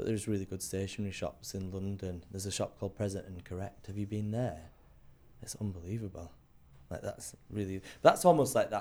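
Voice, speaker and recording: Loudness swings widely as a man with a Cumbrian accent talks at a fairly quick pace, his voice fairly low in pitch with a dark, mellow tone and fairly even intonation. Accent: northern English, northwest Cumbrian. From Cumbria, northern England. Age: 30s. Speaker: illustrator and designer. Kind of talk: casual interview chat. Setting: recording in a townhouse.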